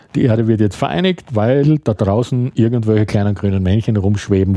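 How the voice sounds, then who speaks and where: Fairly low, dark and mellow tones from a man, with ordinary pitch variation. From Austria, Graz (Styria). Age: 50s. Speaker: writer. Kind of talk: casual chat. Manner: halting.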